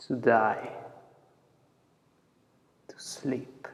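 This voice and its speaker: Raspy and medium in pitch, a man performs a put-on character voice. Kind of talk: classical stage monologue.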